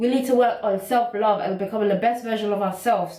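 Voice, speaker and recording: A woman with a British accent, fairly high in pitch, at a fairly quick pace. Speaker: YouTuber. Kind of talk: casual vlog monologue. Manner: fast; animated.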